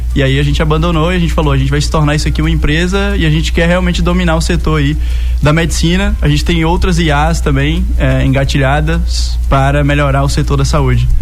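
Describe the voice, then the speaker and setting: A man with a very deep, low pitch talks at a very fast pace in a monotone, flat intonation with very even loudness. Music plays in the background, and an audible room echo can be heard. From interior of Bahia, Brazil. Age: 20s. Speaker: tech entrepreneur. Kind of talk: radio interview.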